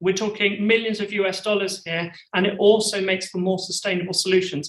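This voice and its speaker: This man speaks with a British accent. His tone is bright and sharp. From UK. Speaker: company CEO. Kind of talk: conference presentation.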